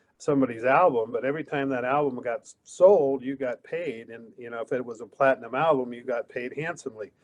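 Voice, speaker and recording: With hardly any pauses, a man talks at a fairly quick pace in a medium pitch, his intonation fairly even and his volume swinging widely, all in a dry, close sound with no echo. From Montana, US. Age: 60s. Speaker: songwriter festival organizer. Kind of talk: casual interview. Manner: halting.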